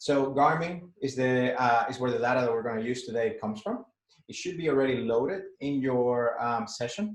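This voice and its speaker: With a Spanish accent, a man speaks at a fairly quick pace. His pitch is medium, with ordinary variation. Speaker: data analytics instructor. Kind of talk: workshop tutorial. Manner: halting with many fillers.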